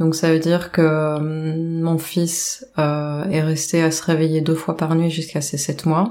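Over noticeable background noise, a woman speaks at a very slow pace in a very deep, low pitch with monotone, flat intonation. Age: 40s. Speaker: domestic violence survivor. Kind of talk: testimony. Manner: halting.

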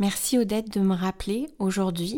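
Recorded very cleanly against a silent background, a woman speaks in a dark, mellow tone. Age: 40s. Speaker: blogger and podcast host. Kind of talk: scripted narration.

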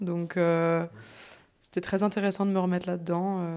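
At a medium pitch, a woman speaks in a flat monotone. She keeps a fairly slow pace. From France, Bourg-en-Bresse (Ain). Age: 20s. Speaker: osteopath. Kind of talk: casual interview. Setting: osteopathy practice.

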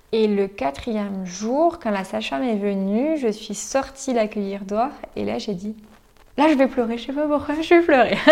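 A woman's fairly high, lively voice at a fairly slow pace, over noticeable background noise. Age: 20s. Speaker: nurse. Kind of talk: testimony.

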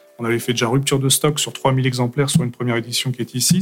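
A man rattles along at a very fast pace, his intonation fairly even, with music in the background. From France, Aveyron then Paris. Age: 30s. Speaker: manga author. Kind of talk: casual interview. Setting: studio.

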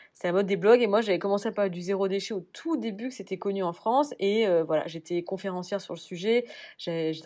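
Against a quiet background, a woman in a normal speaking voice at medium pitch talks at a fairly quick pace with ordinary pitch variation. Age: 30s. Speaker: cosmetics brand co-founder. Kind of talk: interview.

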